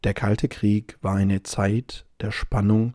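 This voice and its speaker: Speaking very slowly, a man with a fairly low pitch has a somewhat breathy, dark, mellow and relaxed tone, delivered in a flat monotone. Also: dry, close sound with no echo. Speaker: language-learning podcast host. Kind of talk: scripted narration. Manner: relaxed pace.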